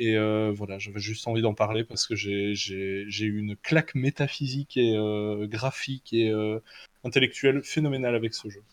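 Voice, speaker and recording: In a plain, everyday voice, a man talks at a moderate pace with a fairly low pitch and fairly even intonation, the sound dry and close with no echo. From Belgium. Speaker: tabletop role-playing game designer. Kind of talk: casual chat.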